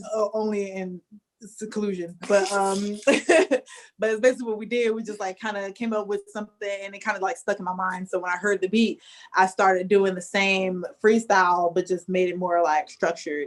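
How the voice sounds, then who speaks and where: A woman talks at a moderate pace and a medium pitch. Her intonation is fairly even, though her loudness swings widely. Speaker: rapper. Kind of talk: casual chat. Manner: quiet.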